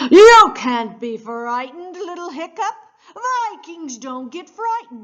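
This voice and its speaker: A put-on character voice moves at a fairly slow pace. It has very wide pitch swings and big swings in loudness. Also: woman, extremely high pitch for a woman. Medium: read story. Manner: loud, boastful.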